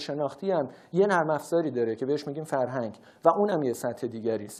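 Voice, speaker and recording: He talks at a very fast pace with a Tehran accent. His intonation is lively. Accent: Tehrani Persian. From Iran, Tehran. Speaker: researcher and public speaker. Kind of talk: lecture.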